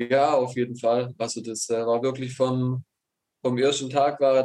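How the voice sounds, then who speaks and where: Fairly slow and monotone, with flat intonation, a man talks at a medium pitch in a dark, mellow tone. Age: 20s. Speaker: handball goalkeeper. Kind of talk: recorded interview. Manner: halting.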